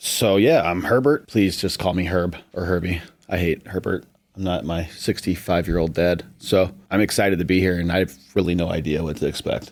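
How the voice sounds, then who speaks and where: A man with a very deep, low voice and an American accent talks at a fairly quick pace in a very clean recording with a silent background. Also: ordinary pitch variation. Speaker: roofing salesman. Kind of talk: casual podcast chat. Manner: fast.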